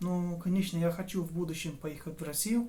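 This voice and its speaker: Speaking fairly slowly with a Portuguese accent, a man has a high-pitched voice with a dark, mellow tone, and room echo is audible. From southern Brazil, near Uruguay border. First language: Portuguese (speaking Russian). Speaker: language learner and tutor. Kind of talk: casual vlog monologue. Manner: halting, self-correcting.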